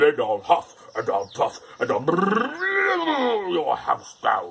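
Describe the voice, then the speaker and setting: Here a man performs a put-on character voice. His delivery is very slow. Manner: roaring, threatening.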